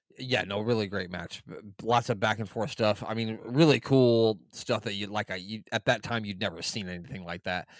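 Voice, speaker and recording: A man with a plain, everyday voice speaks at a moderate pace with hardly any pauses, using fairly low pitch and ordinary pitch variation. The recording is very clean, with a silent background. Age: 30s. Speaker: wrestling podcast guest. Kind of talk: casual chat.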